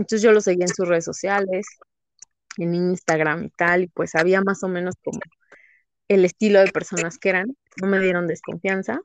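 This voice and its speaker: Speaking at a moderate pace with long, frequent pauses, a woman keeps a medium pitch and fairly even intonation in a dry, close sound with no echo. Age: 30s. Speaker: psychedelic experience storyteller. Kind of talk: casual chat.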